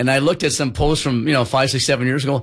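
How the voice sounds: A man with a medium pitch and a slightly husky edge talks at a fast pace with fairly even intonation.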